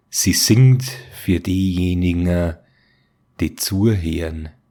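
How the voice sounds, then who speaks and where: With a Bavarian accent, a man speaks at a very slow pace in a very deep, low voice, dark and mellow in tone, with ordinary pitch variation. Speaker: storyteller, narrator of horror tales. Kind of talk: horror story narration.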